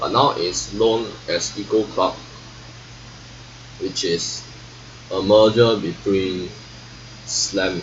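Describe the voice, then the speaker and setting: A man speaks at a very slow pace with long, frequent pauses. Noticeable background noise and audible room echo surround him. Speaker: vlogger. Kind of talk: casual monologue. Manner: halting.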